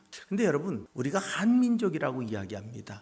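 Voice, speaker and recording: A man with lively intonation. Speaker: pastor. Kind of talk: sermon.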